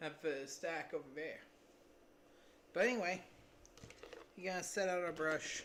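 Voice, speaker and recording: Long pauses come often. The pace between them is moderate. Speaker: miniature painting streamer. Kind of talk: live stream painting tutorial. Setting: live stream. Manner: soft-spoken, lowered voice; calm, relaxed.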